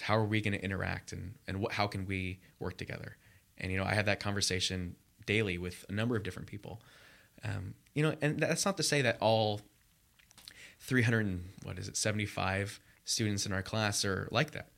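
This American accent moves at a fairly quick pace, with ordinary pitch variation. The recording is very clean, with a silent background. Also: man. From US West Coast, Los Angeles area. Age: 20s. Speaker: MBA student. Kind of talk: interview. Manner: hesitant, many fillers.

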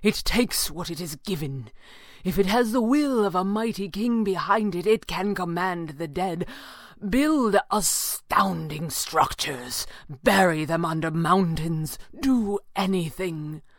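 A woman puts on a character voice at a medium pitch, speaking at a fairly slow pace with lively intonation. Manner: grave, urgent, clipped upper-class.

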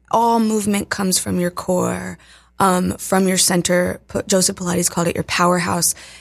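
Speaking with an American accent, a woman keeps her intonation monotone and flat at a moderate pace. The recording is very clean with a silent background. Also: medium pitch for a woman. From Appalachian Virginia, US. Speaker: dance and fitness instructor. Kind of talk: casual interview. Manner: casual, lots of fillers.

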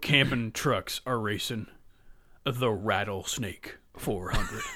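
Putting on a character voice at a medium pitch, a man speaks at a very slow pace. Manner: booming, hyped.

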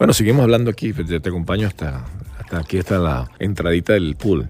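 A man with a very deep, low voice and vocal fry talks at a fairly quick pace with lively intonation. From Venezuela (Valencia). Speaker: podcast host, journalist. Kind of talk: casual chat. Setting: outdoors by a pool, on location.

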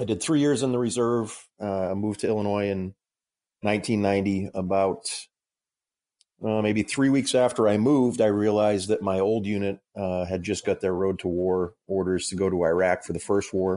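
Against a quiet background, a man talks at a moderate pace with a fairly low pitch, a dark, mellow tone and fairly even intonation. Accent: American. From Massachusetts. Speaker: former law enforcement officer and fitness coach. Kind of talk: casual chat.

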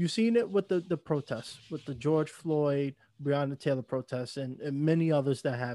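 A man speaks in a plain, everyday voice with an American accent, his pitch fairly high and his intonation showing ordinary variation. The pace is moderate, and the recording is very clean and dry, close-miked with a silent background and no echo. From New York. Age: 20s. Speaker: podcast host. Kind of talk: casual interview conversation.

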